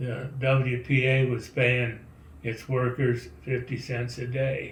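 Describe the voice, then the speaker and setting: Audible room echo surrounds a somewhat breathy man speaking at medium pitch. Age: 80s+. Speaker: donor. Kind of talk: recorded video message.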